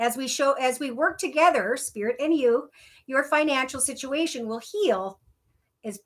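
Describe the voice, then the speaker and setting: A woman with a Minnesotan accent speaks at a high pitch. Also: very clean recording, silent background. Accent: Minnesota. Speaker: tarot reader. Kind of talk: tarot reading.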